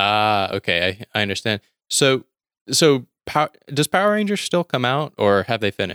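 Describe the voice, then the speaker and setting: A man with a Southern US accent speaks at a medium pitch and moderate pace in a bright, sharp tone with lively intonation, in a very clean, dry, close recording with a silent background and no echo. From US South, Mississippi. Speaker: podcaster. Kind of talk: casual chat.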